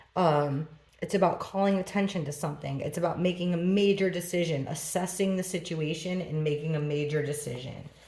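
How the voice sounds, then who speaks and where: The speaker moves at a fairly quick pace with fairly even intonation, and the recording carries noticeable background noise and audible room echo. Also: woman, fairly low pitch for a woman, hardly any pauses. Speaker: tarot reader. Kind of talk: tarot reading.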